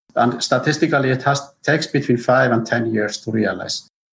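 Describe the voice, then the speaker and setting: Talking at a fairly quick pace, a man with an Icelandic accent speaks at a medium pitch with fairly even intonation and vocal fry. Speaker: geothermal engineer. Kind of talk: interview. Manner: halting.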